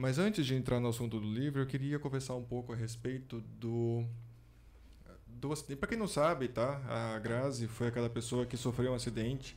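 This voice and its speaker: He has a normal speaking voice at a medium pitch. This man keeps a moderate pace and fairly even intonation. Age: 40s. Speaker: podcast host. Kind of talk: interview. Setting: studio.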